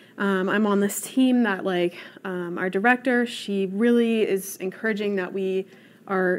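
This woman has a normal speaking voice with an American accent. Her pitch sits in the medium range and varies in an ordinary way. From Colorado, Vail valley. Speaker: professional athlete, cyclist. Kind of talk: panel discussion.

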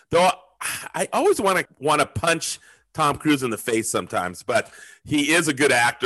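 Speaking at a fairly quick pace against a quiet background, a man with an American accent has a medium pitch and a bright, sharp tone. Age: 50s. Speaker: podcast host. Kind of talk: casual chat.

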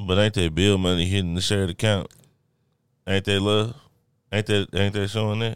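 In a very clean recording with a silent background, a man with a fairly low pitch speaks at a fairly quick pace in monotone, flat intonation, with long, frequent pauses. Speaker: podcast host. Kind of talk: casual chat. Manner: loud.

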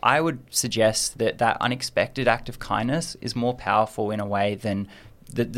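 A man with an Australian accent speaks at medium pitch with ordinary pitch variation. The recording is very clean, with a silent background. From Australia, Adelaide. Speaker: university student. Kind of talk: interview.

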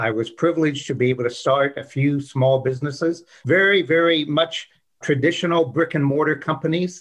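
A man speaks with a normal speaking voice. His pitch is fairly high and his pace fairly quick. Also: fairly even intonation. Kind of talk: casual interview.

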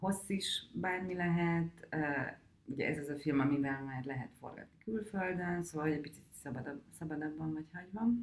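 At a moderate pace, a woman speaks in a very deep, low pitch with ordinary pitch variation and big swings in loudness. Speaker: film director. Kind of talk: interview.

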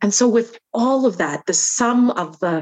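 A woman with a Canadian accent uses a normal speaking voice, speaking at a fairly slow pace with lively intonation. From Canada. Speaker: entrepreneur, founder of a women's network. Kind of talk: interview.

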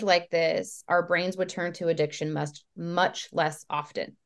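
A woman is speaking. She has a normal speaking voice. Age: 30s. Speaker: health coach, former substance abuse counselor. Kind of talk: casual interview chat.

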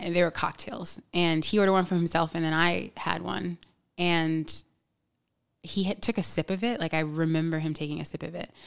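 An unremarkable speaking voice at a fairly quick pace with fairly even intonation, in a very clean recording with a silent background. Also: woman, fairly low pitch for a woman. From New York City. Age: 30s. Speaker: podcast guest. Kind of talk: casual chat.

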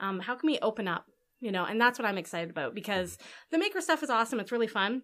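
Her voice sits at medium pitch as the woman speaks. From Canada, Alberta (Edmonton). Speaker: tech program manager. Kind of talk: casual interview.

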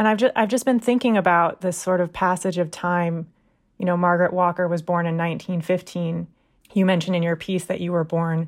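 A woman with an ordinary speaking voice talks at a moderate pace. Her fairly low voice keeps a fairly even intonation. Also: very clean recording, silent background. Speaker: magazine managing editor and podcast host. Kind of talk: interview.

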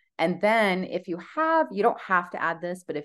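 Against a quiet background, a woman speaks at a moderate pace with lively intonation in a plain, everyday voice. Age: 40s. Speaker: wellness business coach and livestream host. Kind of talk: casual livestream talk to community.

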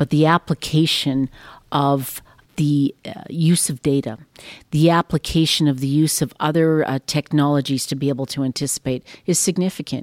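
In a Western Canadian accent, a woman with a very deep, low pitch speaks at a moderate pace and fairly even intonation, recorded dry and close with no echo on a very clean, silent background. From Saskatchewan, Canada. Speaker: railway company executive. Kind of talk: interview. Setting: company headquarters.

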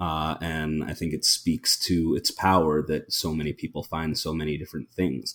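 A man's very deep, low voice with an American accent and vocal fry, at a moderate pace with fairly even intonation and hardly any pauses. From New York City. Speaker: actor and playwright. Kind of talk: casual chat.

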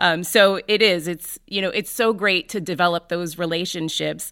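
A woman with an unremarkable speaking voice talks at a fairly slow pace and medium pitch, captured on a very clean recording with a silent background. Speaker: podcast host and volunteer. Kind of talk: interview.

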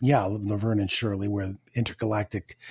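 On a very clean recording with a silent background, a man with a fairly low pitch speaks somewhat breathily at a moderate pace in a flat monotone, the sound dry and close with no echo. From Canada, Toronto. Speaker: voice actor and comedian. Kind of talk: casual interview.

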